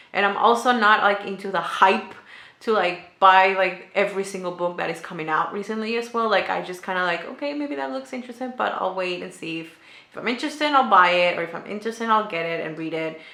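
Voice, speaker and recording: A woman talks very fast at a medium pitch with a non-native accent and lively intonation. The recording has audible room echo, noticeable background noise and big swings in loudness. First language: not English. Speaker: booktuber. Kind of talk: casual vlog chat. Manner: hesitant, many fillers.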